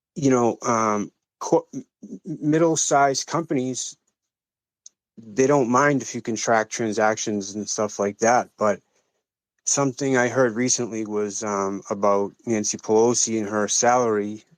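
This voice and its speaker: A man with an American accent, medium in pitch, with ordinary pitch variation and a fairly slow pace, on a very clean recording with a silent background. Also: dry, close sound with no echo. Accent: Boston accent, somewhat curbed. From US Northeast, Boston. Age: 40s. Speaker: crypto community member on a live audio space. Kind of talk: casual discussion on a live audio space. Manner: halting, many fillers and restarts.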